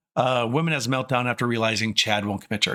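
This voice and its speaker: With an American accent, a man speaks in a bright, sharp tone with ordinary pitch variation. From US Midwest. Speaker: streamer and commentator. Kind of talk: casual livestream commentary. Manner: pitch drops low when not excited; hesitant with many fillers.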